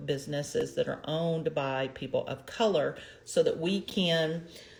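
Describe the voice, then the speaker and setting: The speaker is a woman at a moderate pace. Her fairly low voice comes across as somewhat breathy. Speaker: empowerment coach and livestream host. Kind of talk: casual livestream talk. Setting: live broadcast.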